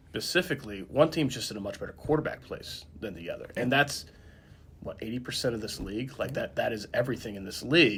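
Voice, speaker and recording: In an Indiana accent, a man talks at a very fast pace. His loudness swings widely. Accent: rural Indiana, sounds Southern to others. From northern Indiana. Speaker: sports journalist, podcast co-host. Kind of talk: casual chat.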